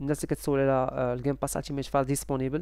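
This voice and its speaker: A man with a Moroccan accent speaks at a fairly high pitch, dry and free of echo, over a quiet background. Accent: Moroccan Darija. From Morocco. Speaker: YouTuber selling game subscriptions. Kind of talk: casual vlog talk to viewers. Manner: halting, many fillers. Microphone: headset.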